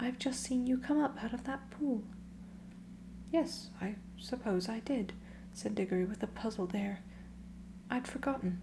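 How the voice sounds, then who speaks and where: Soft-spoken delivery at a moderate pace is broken up by long, frequent pauses. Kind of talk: ASMR audiobook storytime reading.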